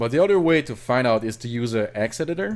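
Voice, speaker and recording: In a French Canadian accent, a man talks at a medium pitch with ordinary pitch variation. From Quebec. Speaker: hobbyist programmer / rom hacker. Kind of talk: screen-recorded coding tutorial. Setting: live stream with chat. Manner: halting, many fillers and self-corrections.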